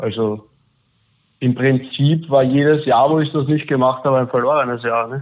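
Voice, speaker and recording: A man at a moderate pace, medium pitch, fairly even intonation, an ordinary speaking voice. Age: 20s. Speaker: coaching client, civil engineer. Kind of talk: interview testimony.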